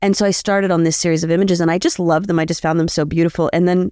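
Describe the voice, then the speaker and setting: A woman speaks very fast in a fairly low voice. Her tone is dark and mellow, her intonation fairly even. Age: 40s. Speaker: street artist. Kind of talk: live interview. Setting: live event in Aberdeen. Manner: casual, filler-heavy.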